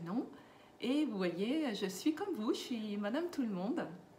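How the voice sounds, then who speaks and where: Over noticeable background noise and audible room echo, a woman's voice swings very widely in pitch. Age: 60s. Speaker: lifestyle vlogger for seniors. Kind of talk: casual vlog monologue. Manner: hesitant, with fillers.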